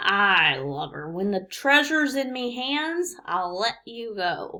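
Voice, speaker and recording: Putting on a character voice, a woman growls at a fairly slow pace in a fairly high pitch, her pitch swinging very widely. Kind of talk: read-aloud character voice. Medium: read story. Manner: growling, pirate talk.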